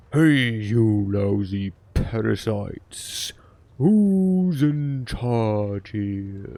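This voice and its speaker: Using a put-on character voice, a man speaks at a very slow pace in a medium pitch. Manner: angry, demanding.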